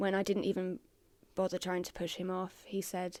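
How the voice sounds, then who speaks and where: A woman's dark, mellow voice holds a flat, monotone intonation in a very clean recording with a silent background. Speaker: podcast guest sharing mental health story. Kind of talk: testimony. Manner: monotonous; halting.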